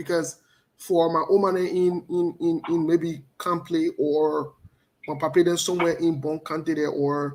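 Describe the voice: A man talks at a fairly slow pace in a fairly high pitch, his tone slightly mellow and his pitch moving little.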